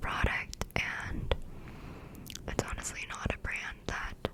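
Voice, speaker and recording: Someone is whispering. Background noise is noticeable. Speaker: college student. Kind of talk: ASMR whisper ramble. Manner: whispered; rambling, casual.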